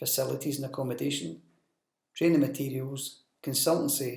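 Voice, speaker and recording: A man speaks at a fairly quick pace with vocal fry. His pitch is medium and his intonation fairly even. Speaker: business development manager presenting training. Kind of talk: recorded training presentation. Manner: monotone.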